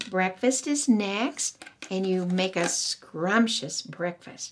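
Noticeable background noise sits under a woman's voice at medium pitch. She talks at a very slow pace with lively intonation. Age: 70s. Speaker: women's Bible study teacher. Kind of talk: Bible teaching.

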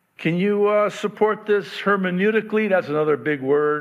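Loud and at a fairly quick pace, a man delivers his words. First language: Arabic. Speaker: pastor. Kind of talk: sermon. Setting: church.

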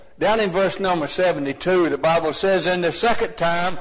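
A man with a Southern US accent, high-pitched, at a fairly slow pace with ordinary pitch variation, over noticeable background noise. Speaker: lay preacher. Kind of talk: sermon. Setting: church.

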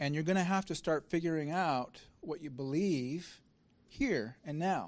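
The voice moves at a fairly slow pace against a quiet background. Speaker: founder of an online sermon platform, introducing the speaker. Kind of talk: introduction of a guest speaker. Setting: live lecture hall with audience.

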